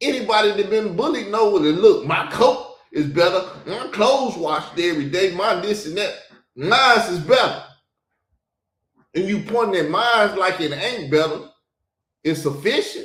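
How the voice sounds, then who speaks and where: A man with a Southern US accent speaks in an animated tone at a high pitch and moderate pace. Audible room echo is present. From US South. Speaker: podcast host. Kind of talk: reaction commentary.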